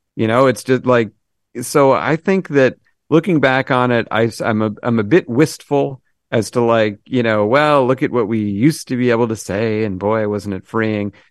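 A man's plain, everyday voice at medium pitch, with ordinary pitch variation and a moderate pace, in a dry, close sound with no echo against a quiet background. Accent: American. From Massachusetts. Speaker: TV comedy writer. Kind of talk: casual interview chat.

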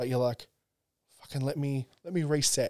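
A man with an Australian accent talks fairly quickly, his fairly high pitch carried by lively intonation. The sound is dry and close with no echo. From Australia, Central Coast NSW. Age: 30s. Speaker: comedian. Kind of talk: casual chat.

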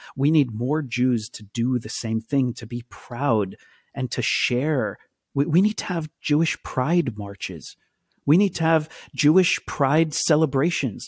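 An ordinary speaking voice from a man with an American accent, fairly high in pitch, fairly slow, with lively intonation, in a very clean recording with a silent background and a dry, close sound with no echo. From Israel and United States. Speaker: actor and activist. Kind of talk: interview conversation.

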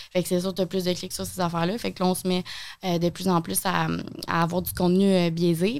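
A woman talks at a fairly quick pace and a fairly low pitch. Her intonation is monotone and flat. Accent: Quebec. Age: 20s. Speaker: TV host and content creator. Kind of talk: casual interview.

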